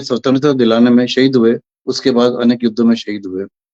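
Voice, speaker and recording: Captured dry and close with no echo, a man speaks in a dark, mellow tone with fairly even intonation. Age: 70s. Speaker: poetry gathering moderator. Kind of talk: online poetry meeting moderation.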